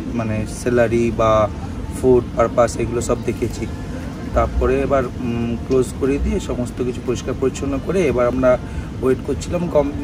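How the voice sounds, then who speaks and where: With music in the background, a man speaks with ordinary pitch variation in a dry sound with no echo. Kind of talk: interview answer. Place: waterside. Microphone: phone near.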